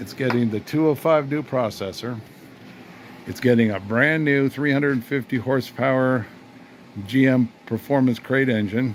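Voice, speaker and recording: Noticeable background noise runs beneath this recording. A man with a medium pitch speaks at a moderate pace. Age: 60s. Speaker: retired car restoration hobbyist. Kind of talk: casual workshop vlog. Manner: animated.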